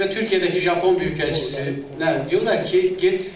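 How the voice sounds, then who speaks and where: A man at a fairly slow pace with ordinary pitch variation, amid noticeable background noise and audible room echo. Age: 60s. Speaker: retired director general, confederation president. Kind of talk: public speech.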